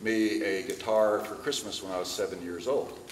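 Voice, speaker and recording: A man's fairly low voice with an American accent, audible room echo and noticeable background noise. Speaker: presenter and luthier. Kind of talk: lecture.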